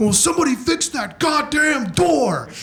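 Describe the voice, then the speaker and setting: Shouting in a put-on character voice at an extremely high pitch, a man keeps a moderate pace over light background noise. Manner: yelling.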